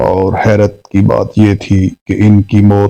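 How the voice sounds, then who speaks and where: Dry and close with no echo, a man's fairly low voice has a dark, mellow tone and monotone, flat intonation. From Pakistan. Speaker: voice-over artist. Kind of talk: horror story narration.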